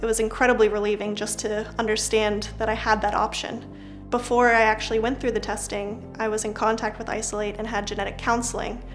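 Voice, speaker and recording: Over music in the background, a woman speaks at a fairly quick pace in a fairly high pitch, with hardly any pauses and a monotone, flat intonation. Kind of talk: interview answer.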